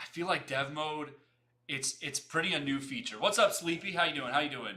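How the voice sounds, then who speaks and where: A man with an animated, bright and sharp tone over a quiet background. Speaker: UI/UX designer and livestream host; livestream host. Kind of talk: live stream casual chat. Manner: fast. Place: home room.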